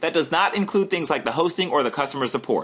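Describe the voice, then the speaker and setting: At a very fast pace and in an animated tone, a man's high voice carries ordinary pitch variation over noticeable background noise. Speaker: online marketer. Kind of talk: webinar sales pitch. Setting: live webinar.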